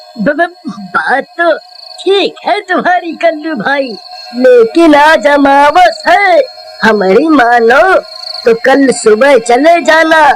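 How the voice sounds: A cartoonish character voice, high in pitch, drags along at a very slow pace.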